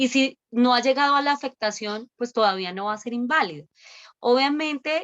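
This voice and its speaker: With lively intonation, a woman speaks in a high pitch, the sound dry and close with no echo. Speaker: lawyer. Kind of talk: webinar Q&A on law. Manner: fast.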